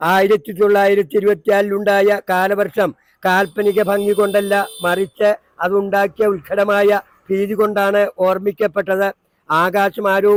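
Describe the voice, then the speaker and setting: A man speaks at a high pitch with monotone, flat intonation. The sound is dry and close, with no echo. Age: 70s. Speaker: public newspaper reader. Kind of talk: newspaper read aloud in public. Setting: outdoors. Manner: loud, clear pronunciation.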